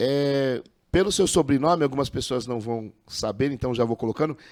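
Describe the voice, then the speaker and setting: A man with a plain, everyday voice, fairly high in pitch, at a fairly slow pace with ordinary pitch variation. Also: very clean recording, silent background. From Brazil, Osasco (São Paulo). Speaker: podcast host, former amateur football referee. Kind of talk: podcast interview.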